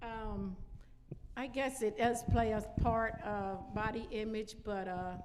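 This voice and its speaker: The delivery is very slow, with fairly even intonation. Audible room echo surrounds the voice. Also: woman, fairly high pitch for a woman. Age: 60s. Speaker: church women's event panelist. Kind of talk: panel discussion.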